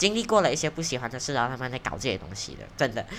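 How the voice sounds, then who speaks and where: Animated in tone, a woman speaks with very wide pitch swings. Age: 20s. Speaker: podcast host. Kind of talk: casual monologue. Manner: animated, rambling with fillers.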